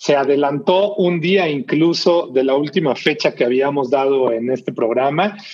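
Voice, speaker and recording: A man speaks fairly slowly with lively intonation. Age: 40s. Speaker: basketball podcast host. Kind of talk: casual chat. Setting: home recording.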